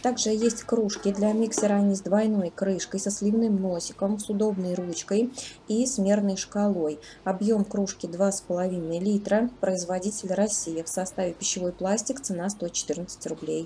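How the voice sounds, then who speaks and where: A woman talks at a fairly slow pace with fairly even intonation. Light background noise sits behind her. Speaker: shopping vlogger. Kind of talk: product price review narration. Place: shop. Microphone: phone near.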